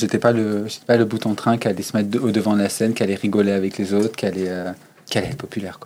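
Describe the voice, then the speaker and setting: Very fast, a man talks in a dark, mellow, fairly low voice with monotone, flat intonation. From Savoie, eastern France (Chambéry). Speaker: drag queen. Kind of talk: interview. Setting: backstage of a bar venue.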